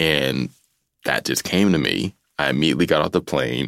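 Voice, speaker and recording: A man with a very deep, low pitch and vocal fry speaks at a moderate pace in a dry, close sound with no echo. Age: 40s. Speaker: author. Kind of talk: interview. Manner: halting.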